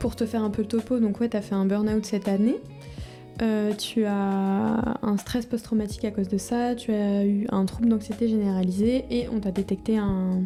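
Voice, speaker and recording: Over music in the background, a woman speaks at a moderate pace with a fairly high pitch, fairly even intonation and very even loudness. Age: 20s. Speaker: vlogger. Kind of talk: personal video diary. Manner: halting, many fillers.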